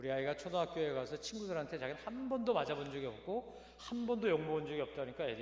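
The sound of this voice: Talking at a very fast pace with hardly any pauses, a man uses a fairly high pitch. His pitch swings very widely, and background noise is noticeable.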